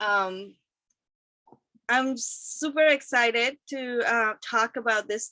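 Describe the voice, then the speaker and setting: On a very clean recording with a silent background and a dry, close sound with no echo, a woman with a non-native accent speaks in a bright, sharp tone with ordinary pitch variation. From Guatemala. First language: not English. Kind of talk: conference presentation. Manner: slow, deliberate.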